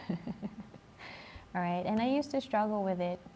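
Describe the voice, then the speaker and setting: The speaker is a woman with a somewhat breathy voice. Her tone is dark and mellow. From Spain. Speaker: life coach. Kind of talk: live stream chat. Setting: library. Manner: slow-paced.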